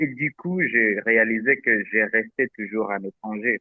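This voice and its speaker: A man's medium-pitched voice at a fairly slow pace. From DR Congo, Butembo (Nande). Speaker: international student. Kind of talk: testimony. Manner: halting, many fillers and repeats.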